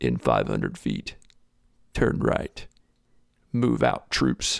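In a put-on character voice, the speaker sounds raspy and gruff, talking at a very slow pace in a dry, close sound with no echo. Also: man. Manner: barking orders.

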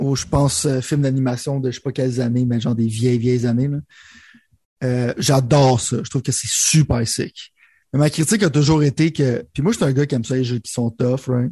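A man with a Quebec accent, medium pitch, a dark, mellow tone, somewhat breathy delivery and fairly even intonation, in a dry, close sound with no echo against a quiet background. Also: moderate pace. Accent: Québécois French. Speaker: gaming podcast co-host. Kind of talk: casual chat.

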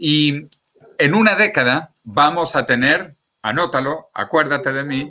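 Bright, sharp tone from a man, captured on a very clean recording against a silent background. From Venezuela. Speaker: scientist and futurist author. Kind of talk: interview. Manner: animated.

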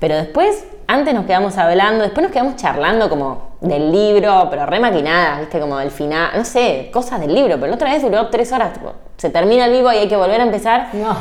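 Amid audible room echo and noticeable background noise, a woman with a Rioplatense accent speaks very fast at a medium pitch with very wide pitch swings. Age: 30s. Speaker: lawyer and book influencer. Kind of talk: casual interview.

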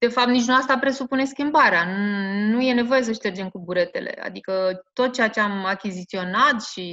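Ordinary pitch variation runs through the speech. The voice has a bright, sharp tone. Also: woman. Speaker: school principal. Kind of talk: interview. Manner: hesitant, with fillers.

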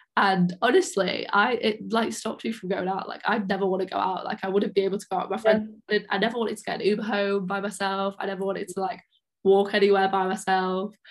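At a very fast pace with hardly any pauses, a woman with an English accent speaks at a medium pitch in a monotone, flat intonation. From England, small town. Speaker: podcast host, university student. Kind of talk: casual chat.

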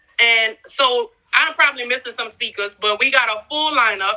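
A woman's bright, sharp voice sits at a fairly high pitch with lively intonation. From New Orleans, Louisiana. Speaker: entrepreneur. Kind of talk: casual chat.

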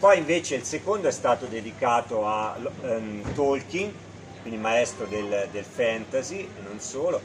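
A man speaks at a moderate pace, and background noise is noticeable throughout. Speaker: magazine editor and writer. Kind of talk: presentation at a live event. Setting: live event with small audience.

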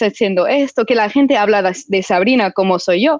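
A woman's fairly high, fairly slow voice with a non-native accent and ordinary pitch variation, in a dry, close sound with no echo. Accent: foreign accent in Spanish. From United States. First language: English (speaking Spanish). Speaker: film director and writer. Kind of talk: interview. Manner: halting.

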